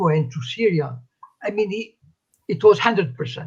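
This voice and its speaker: This man talks with lively intonation. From Morocco. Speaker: activist. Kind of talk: interview. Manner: halting.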